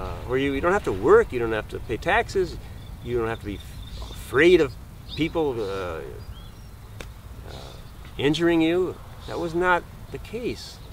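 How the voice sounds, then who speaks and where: A man speaks at a moderate pace with long, frequent pauses amid noticeable background noise. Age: 70s. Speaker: spiritual teacher. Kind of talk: monologue to camera. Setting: outdoors in a garden. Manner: halting.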